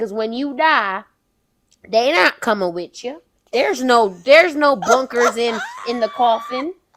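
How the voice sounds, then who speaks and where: A woman's high, animated voice in a Southern US accent, with lively intonation at a fairly slow pace. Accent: put-on Southern accent in this segment. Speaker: podcast co-host. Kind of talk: casual chat.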